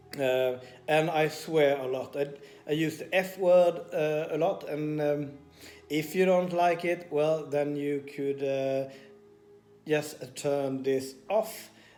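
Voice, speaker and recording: Over music in the background, a man with a Swedish accent speaks very slowly in a fairly high pitch with fairly even intonation. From Sweden. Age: 40s. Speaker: personal trainer and vlogger. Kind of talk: personal vlog confession. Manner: hesitant with many fillers.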